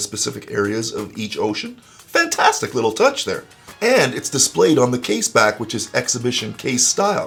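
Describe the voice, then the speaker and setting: Music plays behind a man who talks in an upbeat tone at a fairly quick pace. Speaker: watch reviewer. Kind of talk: product review narration.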